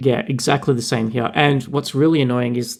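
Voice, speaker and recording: With an Australian accent, a man talks at a fairly quick pace. His pitch is medium and his intonation fairly even. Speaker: podcast co-host. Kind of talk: casual chat.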